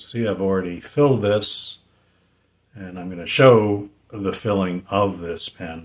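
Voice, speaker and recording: At a very slow pace, a man talks with a fairly low pitch and ordinary pitch variation. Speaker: fountain pen reviewer and seller. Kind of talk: product review talk to camera. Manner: casual, unhurried.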